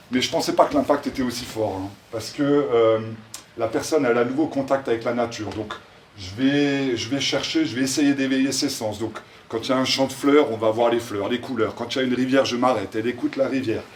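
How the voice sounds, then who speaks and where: His speech comes at a fairly quick pace. Behind the man, background noise is noticeable. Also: medium pitch for a man, fairly even intonation. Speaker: social entrepreneur presenting his project. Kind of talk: public presentation. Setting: event in front of an audience, no microphone. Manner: loud.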